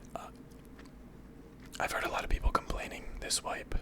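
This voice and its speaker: Someone whispers over noticeable background noise. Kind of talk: ASMR gameplay commentary, whispered, casual talk to viewers. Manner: whispered, soft.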